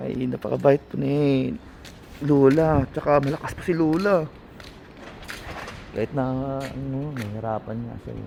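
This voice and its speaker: Over noticeable background noise, a man with a medium pitch talks at a fairly slow pace with long, frequent pauses, ordinary pitch variation and big swings in loudness. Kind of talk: casual vlog talk to camera.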